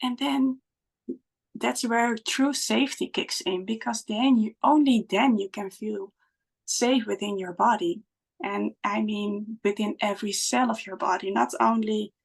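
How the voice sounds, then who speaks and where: In a Dutch accent, a woman speaks at a fairly slow pace with a fairly high, somewhat breathy voice, the sound dry and close with no echo. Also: ordinary pitch variation. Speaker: spiritual guide. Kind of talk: podcast conversation. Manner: halting.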